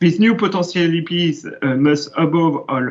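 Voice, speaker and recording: With a French accent and a high pitch, a man talks at a moderate pace in fairly even intonation. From France. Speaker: education ministry official. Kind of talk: conference talk. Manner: halting.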